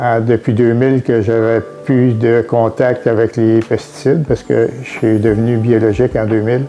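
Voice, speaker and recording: A man's flat, monotone delivery in a Quebec accent, with music in the background. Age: 70s. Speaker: retired farmer. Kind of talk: testimony. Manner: halting, many hesitations.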